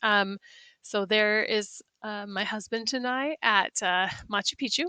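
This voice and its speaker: A woman's medium-pitched voice, bright and sharp in tone, with ordinary pitch variation, a slight North Midwestern accent, a dry, close sound with no echo, and a quiet background. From US Midwest, South Dakota. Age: 40s. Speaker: science teacher. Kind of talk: self-introduction presentation. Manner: hesitant, many fillers.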